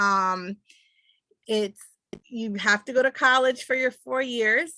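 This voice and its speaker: Recorded in a dry, close sound with no echo, a woman speaks at a moderate pace with a bright, sharp tone and lively intonation. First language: Spanish. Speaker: speech-language pathologist. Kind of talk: panel talk. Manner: halting, many fillers.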